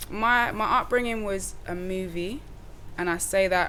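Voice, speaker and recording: With a bright, sharp tone and fairly low pitch, a woman speaks at a fairly slow pace, and audible room echo surrounds her voice. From Wales, Cardiff. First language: Welsh. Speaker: rapper. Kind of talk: casual interview chat. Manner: animated.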